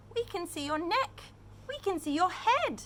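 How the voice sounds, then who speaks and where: A woman uses a put-on character voice, squeaky in sound. Her pitch sits extremely high. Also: moderate pace. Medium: read story.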